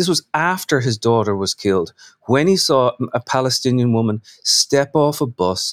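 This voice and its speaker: The pace is fairly slow. The sound is dry and close, with no echo. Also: man. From Ireland, Dublin. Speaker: novelist. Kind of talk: interview. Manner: halting, many repeated words and fillers.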